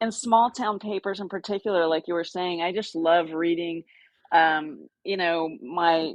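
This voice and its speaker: An ordinary speaking voice comes from a woman with an American accent, fairly low in pitch, speaking at a fairly slow pace with ordinary pitch variation. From Texas, Austin. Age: 60s. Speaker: outdoor adventure writer. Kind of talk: casual interview chat.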